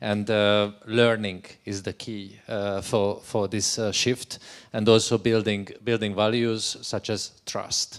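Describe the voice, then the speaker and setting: A voice with a Hungarian accent speaks at a very slow pace. The intonation is flat and monotone. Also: man, fairly low pitch for a man. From Hungary. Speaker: education researcher. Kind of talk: panel discussion. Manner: halting.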